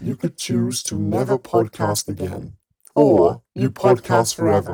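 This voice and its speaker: A man puts on a character voice, fairly low in pitch. He speaks at a fairly slow pace. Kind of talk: dramatic, menacing. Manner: scary, ominous.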